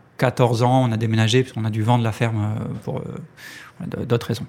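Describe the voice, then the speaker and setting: A medium-pitched man talks at a fairly slow pace with fairly even intonation. Noticeable background noise is present. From France, Ariège. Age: 30s. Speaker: cooperative co-founder. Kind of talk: interview. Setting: office. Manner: halting.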